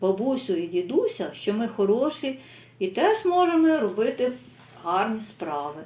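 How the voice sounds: Heard here is a natural reading voice.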